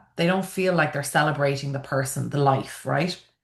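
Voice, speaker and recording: A woman speaks with an Irish accent and ordinary pitch variation. Audible room echo surrounds her voice. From Ireland, Dublin. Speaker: funeral celebrant and event planner. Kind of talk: online conference presentation. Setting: video call.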